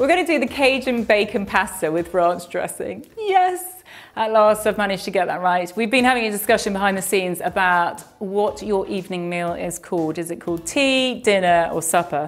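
Her speech, from a woman, goes at a fairly quick pace. Ordinary pitch variation runs through it. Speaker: presenter. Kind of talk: cooking tutorial. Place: kitchen.

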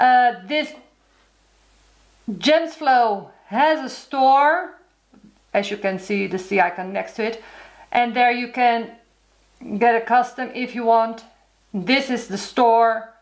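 A woman's high voice in a Dutch accent, very slow, with lively intonation and long, frequent pauses. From Netherlands. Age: 40s. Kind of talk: casual talk to camera.

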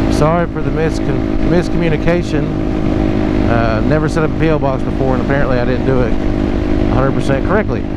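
The voice moves at a fairly quick pace. Loud background noise runs underneath it. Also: dry sound with no echo. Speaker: motovlogger. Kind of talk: casual vlog chat. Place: motorbike. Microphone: helmet.

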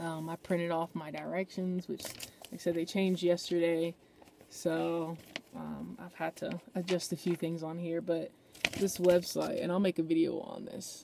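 A woman speaks at a moderate pace in a fairly low pitch, with ordinary pitch variation and big swings in loudness. The sound is dry with no echo, and light background noise is present. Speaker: van life vlogger. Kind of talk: casual vlog chat. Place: car. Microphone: phone near.

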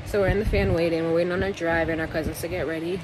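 Noticeable background noise runs behind a woman speaking at a fairly quick pace. Her sound is dry with no echo. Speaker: vlogger. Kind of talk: casual vlog chat. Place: home room. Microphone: phone near.

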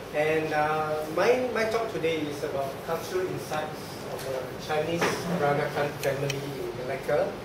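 Loud background noise and audible room echo surround a man speaking at a moderate pace. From Malacca, Malaysia. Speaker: Peranakan culture speaker and artefact collector. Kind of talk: public talk / presentation. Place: meeting room. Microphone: camera far.

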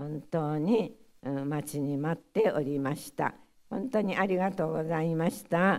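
A woman with a Hiroshima accent speaks at a fairly slow pace in a fairly low voice. Her intonation is lively, and the background is quiet. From Hiroshima, Japan; Japan. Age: 90s. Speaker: atomic bomb survivor. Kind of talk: testimony. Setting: audience of school pupils. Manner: halting. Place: hall. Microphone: podium.

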